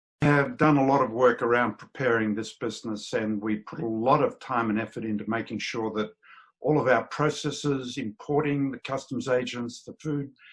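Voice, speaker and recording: Here a man speaks with an Australian accent at a moderate pace. His medium pitch stays fairly even in intonation. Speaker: business owner. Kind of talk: business talk to camera.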